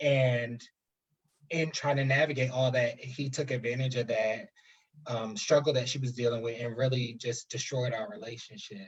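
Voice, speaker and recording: This male voice sits at a medium pitch and moves at a moderate speed. There's some breathiness, and the pitch rises and falls in an ordinary way. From New Jersey, US. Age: 20s. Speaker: guest, higher education worker. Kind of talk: personal testimony in interview. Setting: live stream video call.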